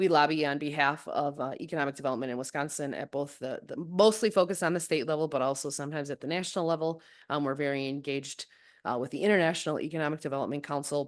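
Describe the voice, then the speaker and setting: Against a quiet background, a woman with a very deep, low pitch talks at a very fast pace with ordinary pitch variation. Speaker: economic development association board chair. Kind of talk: presentation. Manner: loud.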